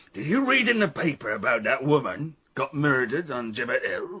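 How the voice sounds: A man's put-on character voice at medium pitch and moderate pace, bright and sharp with a slightly husky edge and big pitch swings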